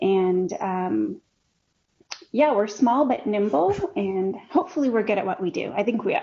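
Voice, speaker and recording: With a Canadian accent, a woman talks at medium pitch using lively intonation. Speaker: peace researcher. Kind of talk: interview. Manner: fast.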